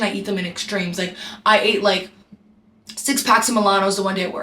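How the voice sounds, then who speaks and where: This is a woman speaking at a medium pitch. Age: 20s. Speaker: travel nurse vlogger. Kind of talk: casual vlog chat. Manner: monotone; chatty, fast.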